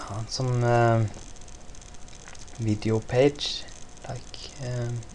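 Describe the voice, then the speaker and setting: A man's medium-pitched voice at a very slow pace, with noticeable background noise. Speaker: software demonstrator. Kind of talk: tutorial. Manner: halting, many fillers.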